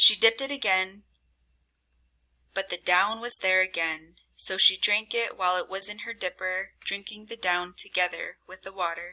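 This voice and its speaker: A woman speaks at medium pitch and a moderate pace in an ordinary speaking voice, her intonation fairly even but her loudness swinging widely. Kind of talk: storytelling read.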